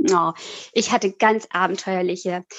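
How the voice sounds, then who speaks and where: Here a woman is heard in a dry, close sound with no echo. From Italy (German-speaking family, born in Switzerland). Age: 40s. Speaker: author and psychological counsellor. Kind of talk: interview. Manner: hesitant, many fillers.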